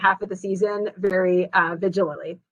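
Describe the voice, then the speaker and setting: A woman with a bright, sharp tone at a fairly quick pace. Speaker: school sports association official. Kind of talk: virtual town hall presentation. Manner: fast.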